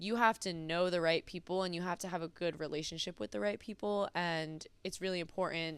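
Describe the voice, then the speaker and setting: A woman with a normal speaking voice and an American accent talks at a fairly low pitch. Her pace is fairly quick, with ordinary pitch variation. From US Northeast, New Jersey. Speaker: college track and field athlete. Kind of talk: podcast interview.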